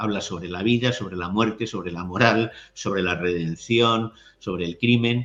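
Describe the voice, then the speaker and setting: A man talks at a moderate pace and a medium pitch, with ordinary pitch variation. His is an unremarkable speaking voice. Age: 60s. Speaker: writer and literary critic. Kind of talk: interview conversation.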